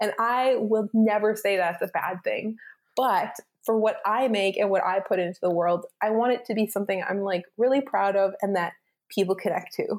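In a Maritime Canadian accent, a woman speaks at a moderate pace with fairly high pitch and fairly even intonation. Her loudness stays very even, and the recording is very clean with a silent background. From Canada, Cape Breton, Nova Scotia. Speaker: podcaster, writer and musician. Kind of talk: interview.

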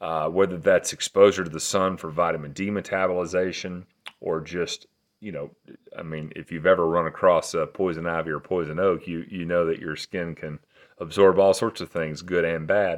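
Over a quiet background, a man with an American accent speaks at a moderate pace in a very deep, low voice. His intonation is monotone and flat, while his loudness swings widely. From East Tennessee. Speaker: regenerative farmer and skincare entrepreneur. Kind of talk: casual chat. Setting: in a house in rural Tennessee.

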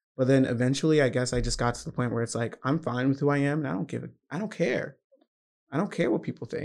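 A man with an American accent talks at a very fast pace with vocal fry, medium pitch and ordinary pitch variation. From US South, Georgia. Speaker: university student. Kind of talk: casual chat.

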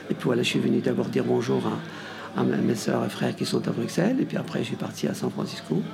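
A man's very fast speech over noticeable background noise. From Morocco, Tangier. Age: 60s. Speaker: hotel owner. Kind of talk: radio interview. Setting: café with radio setup.

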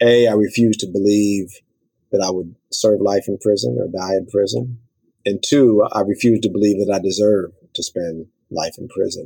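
A man in an American accent, fairly low in pitch, with a dark, mellow tone, ordinary pitch variation and a moderate pace. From South Central Los Angeles, US. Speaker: nonprofit director and former prisoner. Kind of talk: interview.

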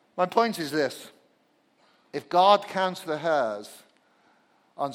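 This man speaks with a British accent. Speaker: pastor. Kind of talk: sermon. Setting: church. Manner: humorous.

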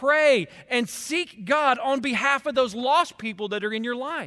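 A man projects a raised voice at an extremely high pitch with a bright, sharp tone and lively intonation. He goes at a fairly slow pace in a very clean recording with a silent background. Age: 40s. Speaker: pastor. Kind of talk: sermon. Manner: animated.

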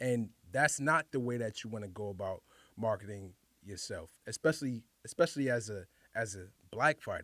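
A man speaks with a New York accent at a medium pitch, his tone bright and sharp. His pace is moderate and his pitch varies in an ordinary way. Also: very clean recording, silent background. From New York City, the Bronx (Highbridge). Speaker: professional fighter. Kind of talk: casual chat.

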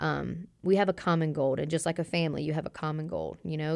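A woman talks at a very fast pace in a very deep, low pitch with monotone, flat intonation. The recording is very clean, with a silent background. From Louisiana (Hammond). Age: 30s. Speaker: college basketball head coach. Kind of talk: interview. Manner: calm.

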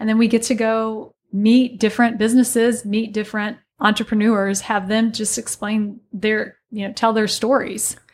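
In an American accent, a woman with a fairly high pitch and a somewhat breathy voice speaks at a moderate pace with hardly any pauses and monotone, flat intonation, on a very clean recording with a silent background. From US Midwest, southern Illinois (Alton, Godfrey area). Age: 40s. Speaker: business instructor and yoga studio owner. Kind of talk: casual interview chat. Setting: studio.

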